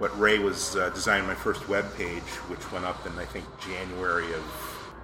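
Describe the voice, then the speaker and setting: Background music can be heard. Over it, a man speaks fairly slowly. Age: 40s. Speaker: pipe accessory artisan, former lawyer. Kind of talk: casual interview. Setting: restaurant with background noise. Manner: hesitant, with fillers.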